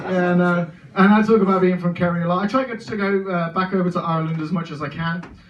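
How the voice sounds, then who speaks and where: A man speaks very fast at a high pitch with fairly even intonation. Background noise is noticeable. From English Midlands, Birmingham. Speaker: stand-up comedian. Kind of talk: stand-up. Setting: stage with audience.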